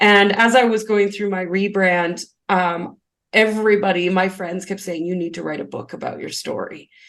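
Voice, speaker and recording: A loud voice speaking at a moderate pace. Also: woman, medium pitch for a woman. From grew up on a farm. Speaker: spiritual business coach and numerologist. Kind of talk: podcast interview. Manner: animated.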